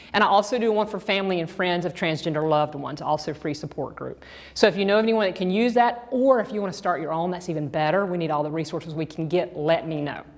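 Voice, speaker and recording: Speaking very fast in a Georgia accent, a woman with a fairly low pitch and ordinary pitch variation takes hardly any pauses. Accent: Georgia (US South). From US South, Georgia. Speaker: sex therapist and trainer. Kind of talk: lecture.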